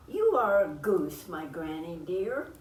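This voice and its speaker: Noticeable background noise sits behind a woman speaking at a very slow pace with a medium pitch. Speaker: grandmother reading a picture book aloud. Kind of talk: children's storytime picture book reading.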